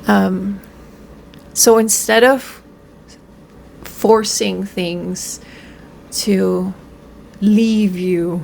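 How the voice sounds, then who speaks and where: A woman speaks very slowly at a medium pitch with ordinary pitch variation, leaving long, frequent pauses. Audible room echo and noticeable background noise surround her voice. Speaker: spiritual self-help vlogger. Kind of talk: casual monologue to camera. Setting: at home on camera, in pajamas. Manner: halting, many fillers.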